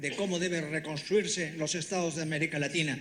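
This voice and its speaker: With audible room echo around him, a man with a high pitch talks at a moderate pace using fairly even intonation. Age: 80s+. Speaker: constitutional lawyer and author. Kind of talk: public speech. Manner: halting, with repetitions and restarts; impassioned.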